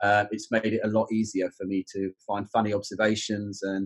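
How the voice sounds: A man talks at a fairly quick pace with a fairly low pitch. He has a London accent and little pitch movement. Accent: southern English, London area.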